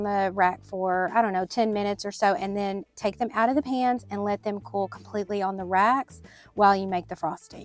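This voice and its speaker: The speaker has a Southern US accent and ordinary pitch variation at a moderate pace. Music plays in the background. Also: woman. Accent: American country. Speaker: baker. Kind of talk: recipe tutorial narration.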